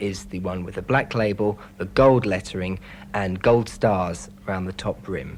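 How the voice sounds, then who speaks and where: This man has an ordinary speaking voice set fairly low, with ordinary pitch variation. He talks at a moderate pace, and his loudness swings widely. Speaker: auction house specialist, interviewee. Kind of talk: interview answer.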